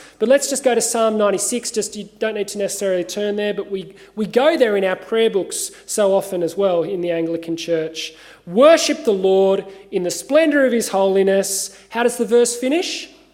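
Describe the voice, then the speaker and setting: A man speaks with an Australian accent, high-pitched and with lively intonation. Noticeable background noise sits behind him. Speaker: pastor. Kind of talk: sermon.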